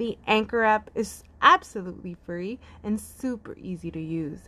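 In a quiet background, a woman speaks at a fairly slow pace with a fairly high pitch. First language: Spanish. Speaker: podcast host. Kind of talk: casual interview chat.

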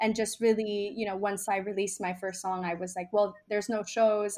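Fairly quick, flat, monotone speech with a Miami accent. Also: woman. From Miami, Nicaragua-born. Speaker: musician. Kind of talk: casual interview chat. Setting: video call.

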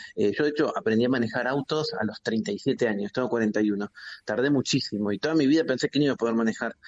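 Speaking very fast at a medium pitch, the man keeps his loudness very even, with ordinary pitch variation. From Buenos Aires province, Argentina. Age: 40s. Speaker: philosopher and journalist. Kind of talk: interview. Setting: phone call.

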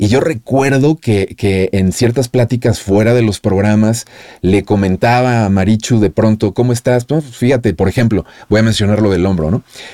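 A man's fairly low, dark and mellow voice at a moderate pace, with ordinary pitch variation, very even loudness, and a dry, close sound with no echo. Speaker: podcast host, former radio host. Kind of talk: interview conversation.

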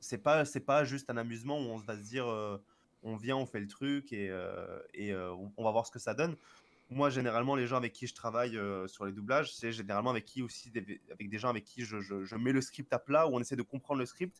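On a very clean recording with a silent background, a man speaks in a plain, everyday voice. His pitch is medium with ordinary pitch variation, at a fairly quick pace. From Marseille, France. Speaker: voice dubber and Japanese teacher. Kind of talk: casual chat. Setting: live stream.

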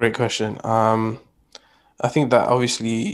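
Against a quiet background, a man with a London accent speaks at a medium pitch in a flat monotone. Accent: British English, London multicultural. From UK, Pakistani heritage. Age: 20s. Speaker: podcast guest. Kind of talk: casual chat. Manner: repetitive filler-heavy.

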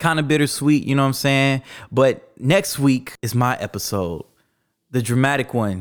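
A man with an ordinary speaking voice talks at medium pitch and a moderate pace, with ordinary pitch variation, in a very clean recording with a silent background. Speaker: podcast host and DJ. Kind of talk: casual interview.

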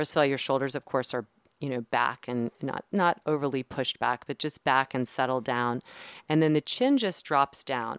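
In an American accent, a woman with a very deep, low pitch speaks at a moderate pace with fairly even intonation, recorded very clean with a silent background and a dry, close sound with no echo. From New Jersey. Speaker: physical therapist and yoga teacher. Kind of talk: casual interview chat.

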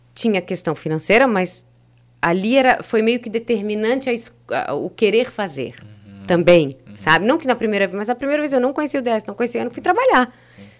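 Very wide pitch swings at a fairly quick pace, with music in the background. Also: woman, fairly high pitch for a woman. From Blumenau, Santa Catarina, Brazil. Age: 40s. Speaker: radio presenter. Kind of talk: casual chat.

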